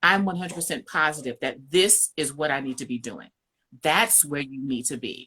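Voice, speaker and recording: A loud woman's voice, very deep and low in pitch, bright and sharp in tone, with lively intonation, a moderate pace and a New York accent. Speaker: marriage coach. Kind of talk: casual chat. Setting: live stream. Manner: bold.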